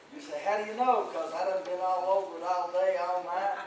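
A high-pitched man with audible room echo and light background noise. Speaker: pastor. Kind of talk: sermon. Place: church.

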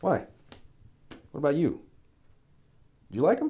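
A man talks at a fairly slow pace in a put-on character voice. His pitch sits fairly high and swings very widely.

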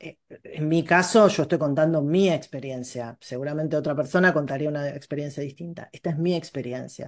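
In a Rioplatense accent, a woman speaks with a very deep, low pitch and ordinary pitch variation. Her pace is moderate, and the background is quiet. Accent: Argentine Spanish (rioplatense). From Argentina. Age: 50s. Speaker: educational psychologist and teacher; teacher. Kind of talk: interview. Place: home room. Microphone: earbuds.

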